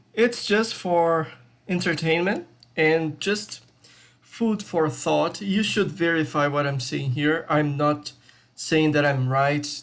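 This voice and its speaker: Pitch varies in an ordinary way throughout. The delivery is very slow, and the background is quiet. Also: man. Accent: Brazilian. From Brazil. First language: Portuguese. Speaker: crypto YouTuber, IT tech lead. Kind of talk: video essay with slides. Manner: casual, hesitant with fillers.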